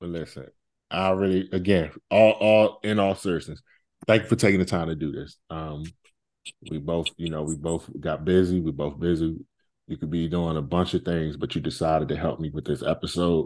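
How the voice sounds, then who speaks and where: A man speaks at a moderate pace in a very deep, low pitch with ordinary pitch variation, the background quiet. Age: 40s. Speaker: podcast host being interviewed. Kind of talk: casual chat interview.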